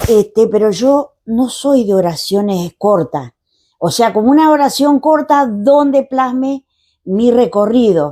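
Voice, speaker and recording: At a very slow pace, a woman speaks with a dark, mellow tone, lively intonation and very even loudness, recorded very cleanly against a silent background. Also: fairly high pitch for a woman. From Argentina, Patagonia (Chubut / Tierra del Fuego countryside). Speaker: poet. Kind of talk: interview.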